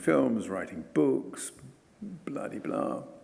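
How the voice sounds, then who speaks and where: A man at a fairly slow pace, with audible room echo. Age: 70s. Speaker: environmental campaigner and author. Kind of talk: lecture.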